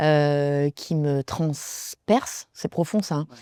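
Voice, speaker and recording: The sound is dry and close, without any echo. It is a woman speaking. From France, Loire (Saint-Étienne). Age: 30s. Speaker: stand-up comedian. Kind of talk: interview. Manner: halting, many fillers.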